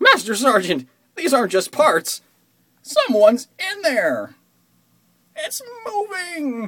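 A high-pitched voice speaks at a fairly slow pace, with long, frequent pauses. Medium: fan dub. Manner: cocky, excited.

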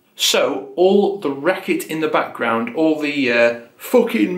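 Audible room echo surrounds a man as he talks. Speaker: music video essay host. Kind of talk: educational commentary.

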